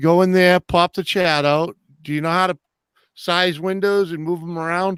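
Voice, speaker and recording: A man with a slight Boston accent speaks at a moderate pace in a high, flat monotone, recorded dry and close with no echo against a silent background. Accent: slight Boston twang. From New Hampshire, New England. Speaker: livestream host. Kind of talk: casual chat.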